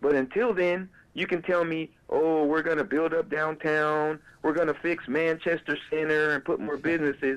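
This is a normal speaking voice from a man with a fairly high pitch. He keeps a moderate pace, very even loudness and fairly even intonation. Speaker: caller. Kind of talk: casual chat. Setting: phone call. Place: studio.

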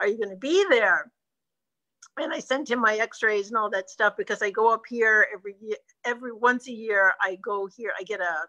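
With a bright, sharp tone, a woman speaks at a fairly quick pace and a fairly high pitch, her intonation fairly even and the background quiet. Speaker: travel business owner. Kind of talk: casual chat. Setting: video call. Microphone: video call.

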